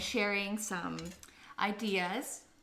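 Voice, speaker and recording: Audible room echo surrounds a woman speaking with a Canadian accent. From Canada. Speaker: cooking livestreamer. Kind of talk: live cooking stream chat.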